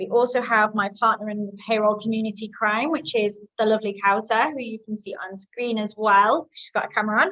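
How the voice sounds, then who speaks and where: A woman with a British accent talks at a fairly quick pace with hardly any pauses, fairly high in pitch and bright, sharp in tone. Her intonation is fairly even, but her loudness swings widely. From UK. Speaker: marketing coordinator and community host. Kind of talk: webinar presentation. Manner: hesitant, many filler ums.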